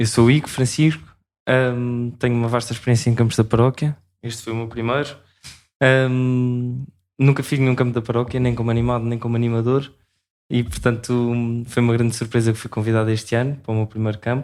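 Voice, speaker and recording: Speaking in a monotone with flat intonation, a man with a medium pitch keeps a fairly quick pace broken by long, frequent pauses. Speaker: university student and camp leader. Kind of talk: podcast interview.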